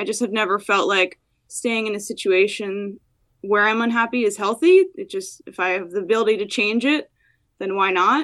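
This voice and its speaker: Over a silent background in a very clean recording, a woman with an American accent speaks at a moderate pace in a plain, everyday voice, fairly high in pitch with fairly even intonation. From New Jersey, US. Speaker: brewer. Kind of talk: casual interview.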